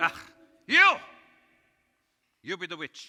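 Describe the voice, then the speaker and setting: The pitch is high. A man is doing a put-on character voice. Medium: stage play. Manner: explosive, barking.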